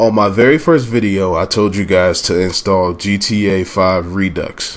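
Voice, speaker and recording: This man has a plain, everyday voice, fairly low in pitch, with ordinary pitch variation at a moderate pace. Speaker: gaming tutorial youtuber. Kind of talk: tutorial.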